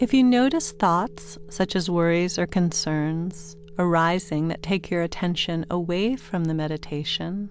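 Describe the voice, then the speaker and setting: A woman's soothing, calm voice, fairly low and fairly slow, with ordinary pitch variation over music in the background. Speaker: meditation guide. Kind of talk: guided sleep meditation. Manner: soothing, slow, calm.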